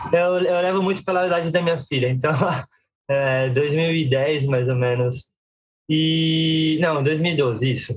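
At a very slow pace, a man speaks with fairly high pitch and very even loudness. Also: ordinary pitch variation. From Brazil, Guarulhos (São Paulo). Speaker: circus performer and juggler. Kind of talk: interview. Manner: halting.

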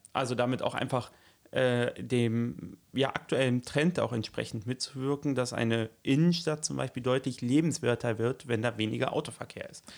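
A man at a medium pitch, moderate in pace, with ordinary pitch variation. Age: 30s. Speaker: local politician and teacher. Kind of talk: casual interview. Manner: hesitant, many fillers.

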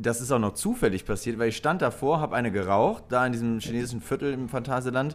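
Ordinary pitch variation and a fairly quick pace, with music in the background. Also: man. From western Germany, Lower Rhine (Krefeld area). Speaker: podcast co-host. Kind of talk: casual chat.

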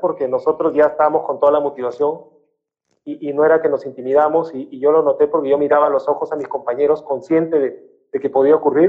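At a fairly quick pace, a man speaks with a fairly high pitch and monotone, flat intonation. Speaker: former professional footballer. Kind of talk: interview.

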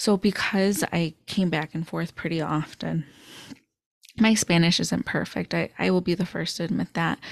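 A woman's fairly low voice with vocal fry, ordinary pitch variation and a moderate pace, in a very clean recording with a silent background and a dry, close sound with no echo. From Chicago suburbs, US Midwest. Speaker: podcast host. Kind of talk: solo podcast monologue.

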